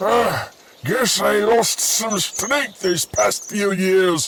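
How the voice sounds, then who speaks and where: The pace is very slow. The voice is a put-on character. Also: man, high pitch for a man. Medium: audio drama. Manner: gruff, blustering.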